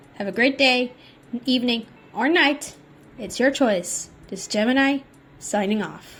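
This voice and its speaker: Over music in the background, a woman with a high voice talks at a fairly slow pace, leaving long, frequent pauses. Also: ordinary pitch variation. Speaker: YouTube artist and commentator. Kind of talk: commentary video. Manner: halting, frequent stutters and restarts; casual, exasperated.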